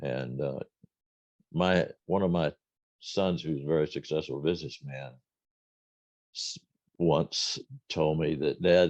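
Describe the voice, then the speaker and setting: Very deep and low, a man's voice with vocal fry moves at a fairly slow pace with fairly even intonation and long, frequent pauses, recorded dry and close with no echo. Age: 80s+. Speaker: retired band director, music educator. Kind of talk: interview.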